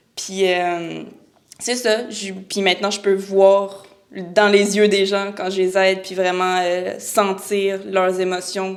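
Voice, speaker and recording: With a Quebec accent, a woman talks at a very slow pace in a monotone, flat intonation, with audible room echo. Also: medium pitch for a woman. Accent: Québécois French. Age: 20s. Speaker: real estate broker. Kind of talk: podcast interview.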